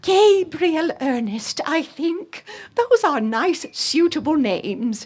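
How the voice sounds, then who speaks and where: Using a put-on character voice, a woman speaks at a very slow pace with an extremely high pitch and very wide pitch swings. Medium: read story. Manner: warm, decisive.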